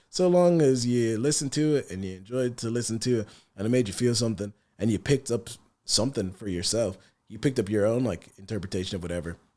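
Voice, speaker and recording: A man with a Dublin accent talks at a very fast pace with lively intonation. His voice is dark and mellow at medium pitch, on a very clean recording with a silent background. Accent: Irish (Dublin). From Ireland, partly Sierra Leone. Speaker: rapper. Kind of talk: podcast interview. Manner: soft-spoken.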